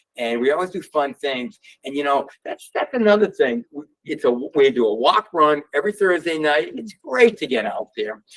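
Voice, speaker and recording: With a Boston accent, a man speaks at a fairly high pitch and moderate pace. His intonation is lively. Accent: New England (Boston area). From Massachusetts (Worcester). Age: 60s. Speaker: sneaker store owner. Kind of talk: talk to audience. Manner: animated; halting.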